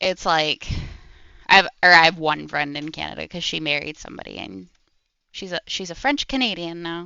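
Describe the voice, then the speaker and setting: A plain, everyday voice with an American accent speaks at a moderate pace with ordinary pitch variation. The loudness swings a lot. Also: woman, fairly low pitch for a woman. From Maryland, near Washington DC. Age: 20s. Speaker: streamer. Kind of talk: casual chat. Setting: live stream.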